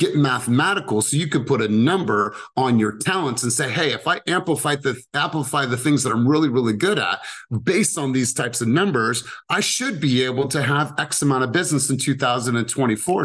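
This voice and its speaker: At a fairly quick pace, a man talks in an animated tone at a medium pitch, with ordinary pitch variation. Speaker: sales coach for real estate agents. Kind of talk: team coaching session. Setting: video call. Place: home room. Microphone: studio mic.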